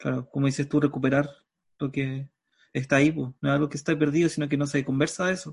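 A man with a Chilean accent talks very fast in a fairly high, somewhat breathy, monotone voice over a quiet background. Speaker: radio host. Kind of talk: interview. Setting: video call.

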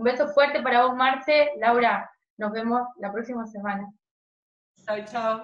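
Fairly high in pitch, a woman speaks at a fairly slow pace with fairly even intonation and long, frequent pauses. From Argentina, Jujuy. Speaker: podcast co-host. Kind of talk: casual interview chat.

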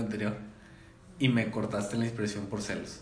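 In a room with audible echo and noticeable background noise, a man talks fairly quickly at a medium pitch in a monotone, flat intonation. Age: 20s. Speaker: podcast host. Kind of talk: casual chat.

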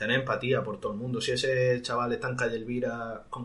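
Against noticeable background noise and audible room echo, a man with an Andalusian accent talks at a fairly quick pace and medium pitch with flat, monotone intonation. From Andalusia, Spain (Roquetas de Mar, Almería). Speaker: singer. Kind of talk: interview. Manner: halting.

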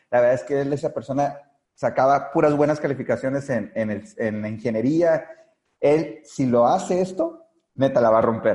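The voice carries a dark, mellow tone. Its pace is moderate. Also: man, fairly high pitch for a man, ordinary pitch variation. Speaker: network marketing leader. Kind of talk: interview.

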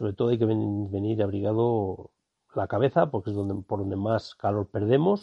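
Fairly level intonation carries speech delivered at a medium tempo. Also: man. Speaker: photographer and podcast host. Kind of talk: on-location narration. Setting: outdoors in a wildlife hide. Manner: quiet, hushed; halting.

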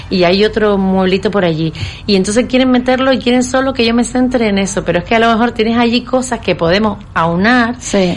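Against noticeable background noise, a woman talks at a fairly quick pace in a fairly high pitch with ordinary pitch variation. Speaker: professional organizer. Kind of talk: casual interview.

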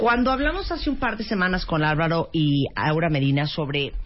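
Music plays in the background as a woman speaks at a moderate pace. Her voice is fairly low, with lively intonation. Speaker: radio host. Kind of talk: casual chat.

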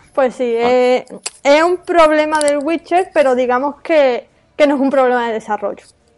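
High pitch from a woman, moderate in pace and ordinary in pitch variation. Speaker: podcast host. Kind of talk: casual chat; podcast episode wrap-up.

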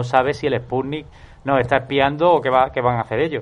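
This man's speech is very fast. Its pitch varies in an ordinary way. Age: 30s. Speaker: film podcast panelist. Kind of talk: casual chat.

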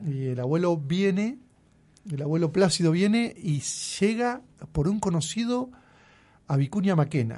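With a high pitch and lively intonation, a man speaks in a dark, mellow tone at a fairly slow pace, leaving long, frequent pauses. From Argentina, Buenos Aires province countryside. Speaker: local sports official. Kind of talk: radio interview. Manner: halting, with frequent repetitions.

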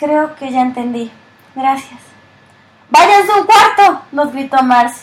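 Speaking at a very slow pace with long, frequent pauses, a woman uses lively intonation and a high pitch. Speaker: audiobook narrator. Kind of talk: literary audiobook reading. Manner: even narrator's pace, shifting gently into dialogue lines.

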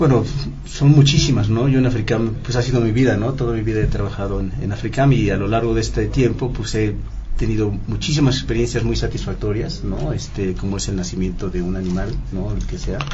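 A man speaks fairly quickly, with audible room echo and noticeable background noise. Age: 50s. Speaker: veterinarian. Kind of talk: radio interview. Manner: halting.

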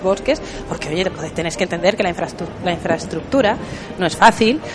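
Through noticeable background noise, a woman speaks at a very fast pace. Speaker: podcast host. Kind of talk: casual chat. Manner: hesitant.

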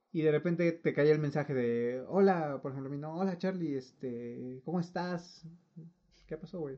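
Pitched fairly high, a man with a Mexican accent talks at a fairly slow pace with ordinary pitch variation and big swings in loudness. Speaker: podcast co-host. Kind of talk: casual chat.

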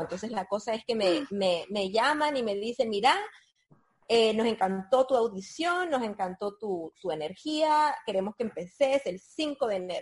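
This woman has a fairly high pitch and an ordinary speaking voice. Her intonation is lively and her pace moderate. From Nicaragua. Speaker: former TV presenter, publicist. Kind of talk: interview, life story.

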